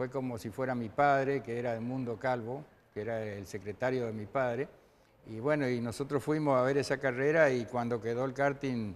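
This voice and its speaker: A man at a moderate pace, medium in pitch, with fairly even intonation. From Argentina, Chaco province (Machagay). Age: 60s. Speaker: retired racing driver. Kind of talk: TV interview. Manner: hesitant, many fillers.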